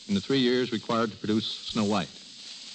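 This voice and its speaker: Ordinary pitch variation from a man, with noticeable background noise behind. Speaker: animation film producer, guest on radio. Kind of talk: 1930s radio guest interview answer.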